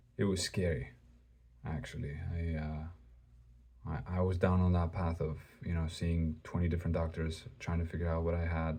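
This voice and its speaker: At a moderate pace with long, frequent pauses, a man talks in a very deep, low, somewhat breathy voice with a dark, mellow tone and fairly even intonation. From Greece. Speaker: religious video creator. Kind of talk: personal testimony. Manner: halting; casual.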